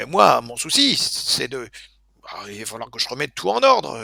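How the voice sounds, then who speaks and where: Using a put-on character voice, a man speaks raspily at a moderate pace, with a dry, close sound and no echo. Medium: actual play. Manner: effusive, exclamatory, theatrical.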